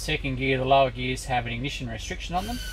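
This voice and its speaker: There is light background noise. A man speaks with an Australian accent. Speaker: dyno tuner. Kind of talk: technical explanation. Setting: workshop. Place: workshop.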